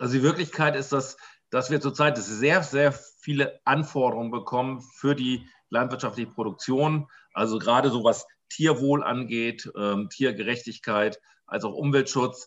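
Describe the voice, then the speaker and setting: Keeping fairly even intonation, a man speaks at a moderate pace and medium pitch. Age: 50s. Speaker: farmer and farmers' association president. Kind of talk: interview. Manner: halting, many fillers.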